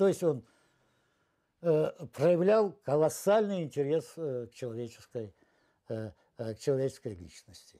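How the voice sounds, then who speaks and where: A man's dark, mellow, fairly high voice at a fairly slow pace, with very wide pitch swings, big swings in loudness, long, frequent pauses, and a quiet background. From Russia, near the Ukrainian border. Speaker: film director. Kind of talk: interview reminiscence. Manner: halting, many fillers. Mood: reflective, animated reminiscing. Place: home room. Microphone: lapel.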